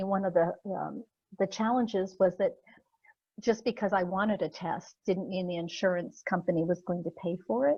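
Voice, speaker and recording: At a moderate pace, a woman speaks somewhat breathily with a medium pitch and ordinary pitch variation. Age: 60s. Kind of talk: presentation; Q&A answer. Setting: virtual symposium. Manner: halting, many fillers.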